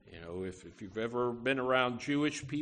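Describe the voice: Plain reading aloud, nothing more.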